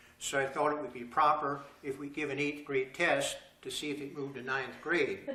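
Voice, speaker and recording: A man with an American accent speaks at a moderate pace in a fairly high, monotone, flat voice. Noticeable background noise and audible room echo fill the recording. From central Pennsylvania, Gratz. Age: 70s. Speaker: retired school principal. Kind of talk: public talk. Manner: casual, halting.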